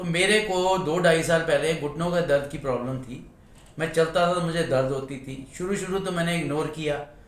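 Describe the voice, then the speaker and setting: A man talks at a moderate pace with a high pitch and ordinary pitch variation. Room echo is audible. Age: 60s. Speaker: salesman, customer giving testimony. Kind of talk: testimony.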